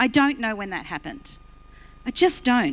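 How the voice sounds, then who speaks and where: A high-pitched woman in an Australian accent, with very wide pitch swings. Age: 60s. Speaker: pastor. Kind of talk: sermon.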